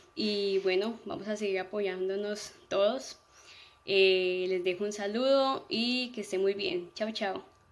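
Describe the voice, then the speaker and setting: At a very slow pace, a woman speaks with a medium pitch and ordinary pitch variation. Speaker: student testimonial giver. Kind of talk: testimonial. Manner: hesitant, filler-heavy. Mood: warm, appreciative. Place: home room. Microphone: phone near.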